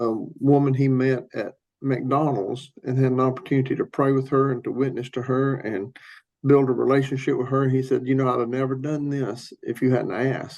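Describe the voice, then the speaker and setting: A man with a Southern US accent talks at a moderate pace in a medium pitch. His intonation is monotone and flat. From US South, Tennessee. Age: 60s. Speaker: pastor. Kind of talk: podcast interview.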